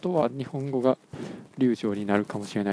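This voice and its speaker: This man talks at a fairly quick pace with lively intonation and medium pitch, the sound dry and close with no echo. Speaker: podcast host. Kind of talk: solo casual monologue.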